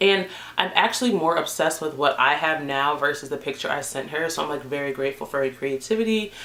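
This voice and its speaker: A woman with a very deep, low pitch talks at a fairly quick pace in an animated tone, with noticeable background noise behind her. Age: 20s. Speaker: beauty vlogger. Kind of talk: casual vlog talk to camera.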